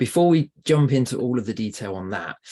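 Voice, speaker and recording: A man with a British accent speaks at medium pitch in a dark, mellow tone. His intonation is lively, his pace moderate, and the background quiet. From UK. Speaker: podcast guest host. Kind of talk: interview. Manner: hesitant with fillers.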